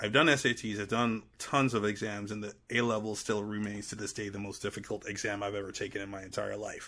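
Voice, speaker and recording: With an American accent, a man talks at a fairly quick pace and fairly low pitch. His tone is bright and sharp, and his loudness swings widely. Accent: American accent, switching from Trinidadian. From Trinidad and Tobago. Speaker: podcaster and media producer. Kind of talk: casual interview chat. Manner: halting, many fillers.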